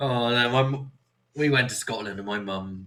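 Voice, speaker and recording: Bright and sharp in tone, a man with a West Country accent speaks at a moderate pace with fairly even intonation. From Somerset, South West England. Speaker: podcast host. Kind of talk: casual chat.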